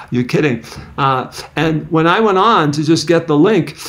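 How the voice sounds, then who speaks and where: Fairly high-pitched male voice with ordinary pitch variation amid noticeable background noise. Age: 70s. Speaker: psychology professor. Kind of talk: podcast interview.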